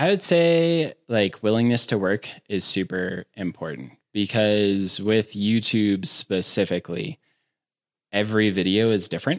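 A man's normal speaking voice, fairly low-pitched with lively intonation, at a fairly slow pace and very even loudness, in a dry, close sound with no echo on a very clean recording with a silent background. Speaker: production team member. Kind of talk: casual chat. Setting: studio.

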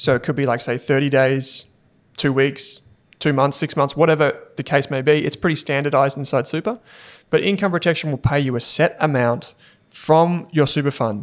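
Recorded very cleanly with a silent background, a man with a fairly high pitch talks at a moderate pace and fairly even intonation. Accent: Australian. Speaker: finance podcast host. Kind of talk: casual chat.

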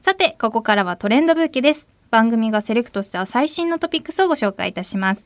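Very fast and fairly high-pitched, a woman's voice makes very wide pitch swings, recorded very cleanly against a silent background with a dry, close sound and no echo. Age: 20s. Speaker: radio host. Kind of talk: radio talk show. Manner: animated.

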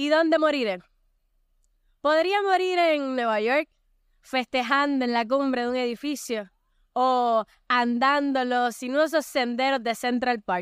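Animated yet fairly slow, a woman with a high pitch and ordinary pitch variation speaks with long, frequent pauses. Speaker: poet. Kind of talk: poetry reading, casual chat. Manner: laughing, emotional, animated.

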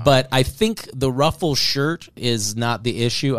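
A man talks at a fairly slow pace with fairly even intonation. He has an unremarkable speaking voice. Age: 40s. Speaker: comedian. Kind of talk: casual chat.

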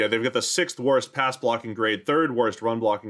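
Heard on a very clean recording with a silent background, a man with a plain, everyday voice talks at a moderate pace, medium in pitch with ordinary pitch variation. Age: 40s. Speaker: NFL podcast host. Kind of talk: casual sports analysis chat.

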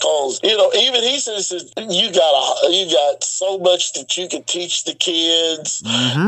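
Over noticeable background noise, a man talks at a fairly slow pace in a high pitch with lively intonation. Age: 50s. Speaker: professional wrestler. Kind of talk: casual chat.

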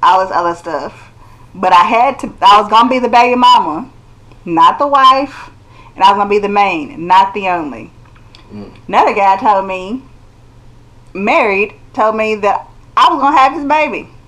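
Noticeable background noise is present. Over it, a woman speaks with lively intonation. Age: 30s. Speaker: skincare product maker. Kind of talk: casual chat.

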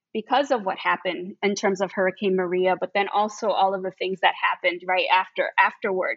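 Speaking with an American accent in an unremarkable speaking voice, the speaker moves at a fairly quick pace with fairly even intonation and hardly any pauses. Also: woman, medium pitch for a woman. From Chicago, US Midwest. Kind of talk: academic interview conversation.

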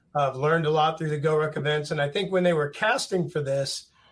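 In a normal speaking voice, a man with a fairly high pitch talks with ordinary pitch variation. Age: 50s. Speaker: reality TV contestant and fitness athlete. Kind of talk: casual interview chat.

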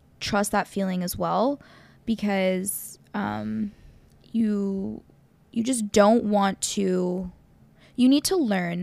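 A woman's medium-pitched voice at a very slow pace, with long, frequent pauses and fairly even intonation. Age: 30s. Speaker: podcast host. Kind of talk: casual chat.

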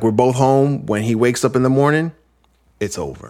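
A man with an American accent, medium pitch, ordinary pitch variation and a moderate pace. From New York. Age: 40s. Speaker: podcast host. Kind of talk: casual chat.

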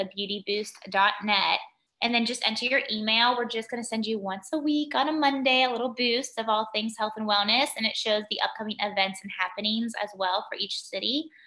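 Fairly high in pitch, a woman talks at a moderate pace in a normal speaking voice with ordinary pitch variation. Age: 30s. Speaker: founder of a women's community organization. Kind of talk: casual interview.

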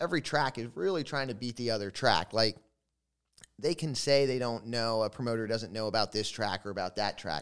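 Lively in intonation, a man with a medium pitch talks at a fairly quick pace on a very clean recording with a silent background. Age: 40s. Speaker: former sprint car driver, manufacturing operations manager. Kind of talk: casual interview chat. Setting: trophy room at a family compound. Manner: halting, with frequent fillers.

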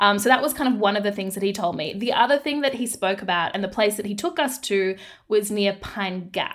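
Speaking at a fairly quick pace, a woman with an Australian accent and a medium pitch uses lively intonation. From Australia, Darwin, Northern Territory. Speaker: investigative journalist and podcast host. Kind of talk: casual interview chat.

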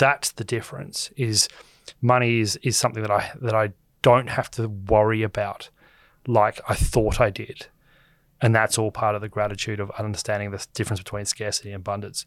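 With an Australian accent and fairly even intonation, a man speaks at a fairly quick pace and fairly low pitch in a very clean recording with a silent background. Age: 30s. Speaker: finance commentator. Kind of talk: casual chat.

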